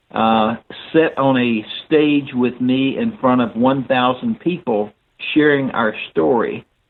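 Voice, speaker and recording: A man with a Southern US accent at a medium pitch, very slow in pace and with ordinary pitch variation. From US South, North Alabama. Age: 70s. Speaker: inspirational speaker and mentor. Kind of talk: podcast interview. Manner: halting with frequent fillers.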